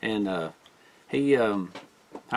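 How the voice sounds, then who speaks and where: In a Southern US accent, a man talks with a fairly low pitch. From US South. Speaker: bushcraft YouTuber. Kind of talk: casual gear review.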